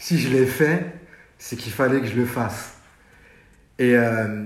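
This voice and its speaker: A man speaks fairly slowly at a medium pitch, somewhat breathy. Room echo is audible. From France, Paris suburbs (Sarcelles, Val d'Oise). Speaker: fashion journalist and stylist. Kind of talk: casual interview. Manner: hesitant, with many fillers.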